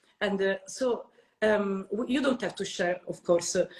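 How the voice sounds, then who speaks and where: This woman speaks in an Italian accent at a medium pitch. Her pitch variation is ordinary. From Italy. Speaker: podcast host. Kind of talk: interview.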